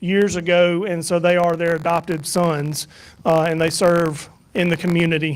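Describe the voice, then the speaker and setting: On a very clean recording with a silent background, a man with a Southern US accent talks at a moderate pace in a high pitch for a man. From US South. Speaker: church minister leading a mission trip report. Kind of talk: mission trip slideshow presentation to church. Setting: church evening service. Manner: casual, halting with many fillers.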